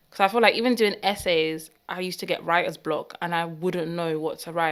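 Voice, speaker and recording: A woman with a London accent speaks in a fairly low pitch with fairly even intonation. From northwest London. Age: 20s. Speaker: baker. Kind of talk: casual chat.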